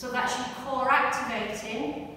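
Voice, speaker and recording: A woman is speaking in a room with strong echo. Light background noise can be heard. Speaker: fitness instructor. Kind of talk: exercise class instruction. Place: gym. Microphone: camera far.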